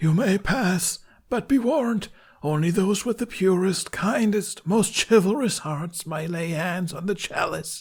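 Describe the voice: The speaker uses a put-on character voice. The delivery runs at a fairly slow pace. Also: man, high pitch for a man.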